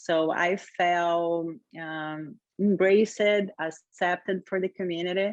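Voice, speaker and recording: A woman's fairly low voice at a very slow pace. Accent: Brazilian Portuguese. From Brazil, Rio de Janeiro. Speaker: yoga teacher. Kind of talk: interview.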